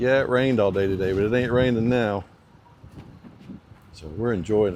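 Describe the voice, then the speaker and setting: A man with an Alabama accent and a fairly low pitch is heard with audible room echo and noticeable background noise. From US South, Alabama. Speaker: motorcycle mechanic and vlogger. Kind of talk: casual chat. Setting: outdoors.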